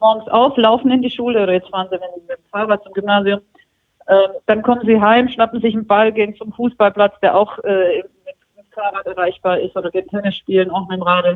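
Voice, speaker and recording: A woman in an ordinary speaking voice talks at a fairly quick pace and medium pitch. Her intonation is fairly even, though her loudness swings a lot. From Swabia, southern Germany. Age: 40s. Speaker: magazine editor-in-chief. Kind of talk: interview.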